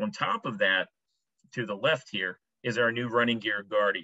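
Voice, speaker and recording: A man speaks with lively intonation. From Maryland, Annapolis. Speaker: paint company sales rep. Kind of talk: product presentation. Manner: fast.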